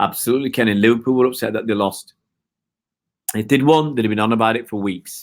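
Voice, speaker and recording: On a very clean recording with a silent background, a man with a Manchester accent talks fairly quickly at a medium pitch with ordinary pitch variation. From northern England, Oldham, Greater Manchester. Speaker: football fan livestreamer. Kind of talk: live-stream chat with viewers. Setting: live stream from home. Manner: hesitant, many fillers and restarts.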